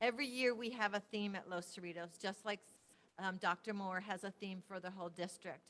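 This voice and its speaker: She talks at a fairly quick pace in a plain, everyday voice of medium pitch, her intonation fairly even. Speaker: school principal. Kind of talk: presentation at board meeting. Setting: public board meeting, at a microphone.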